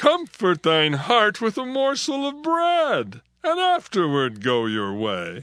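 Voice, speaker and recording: A man does a put-on character voice with a high pitch at a fairly slow pace. The background is quiet. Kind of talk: dramatized King James scripture. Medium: audio drama. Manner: persuasive, repetitive urging.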